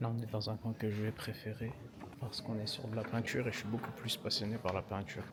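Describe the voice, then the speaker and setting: A man whispers at a very fast pace against noticeable background noise. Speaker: travel vlogger. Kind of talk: casual vlog narration. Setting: inside a church. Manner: whispering; calm.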